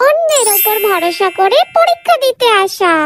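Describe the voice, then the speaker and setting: A squeaky, put-on character voice with lively intonation goes at a moderate pace over music in the background. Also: woman, extremely high pitch for a woman. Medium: voice reel. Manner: announcing.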